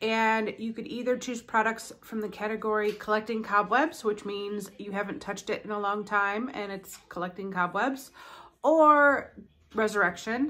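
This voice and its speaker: A woman with a fairly high pitch speaks at a moderate pace, her bright, sharp tone showing ordinary pitch variation and big swings in loudness. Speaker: beauty YouTuber. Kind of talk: casual vlog chat.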